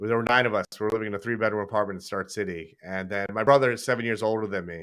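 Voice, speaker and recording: A man with a slight New York accent talks at a very fast pace. His voice is fairly low in pitch and animated in tone. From New York, Brooklyn and Long Island. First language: raised bilingual with Hindi and Punjabi. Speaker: dermatologist and YouTuber. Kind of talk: casual chat on livestream. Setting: livestream from office.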